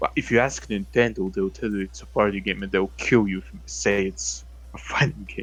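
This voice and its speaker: A man talks fairly quickly in a very deep, low voice with vocal fry. His pitch swings very widely. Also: quiet background. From Balkans, near Bosnia and Herzegovina. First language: non-English (Balkan language). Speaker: gaming podcast host. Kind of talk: casual chat. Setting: live stream. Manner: animated.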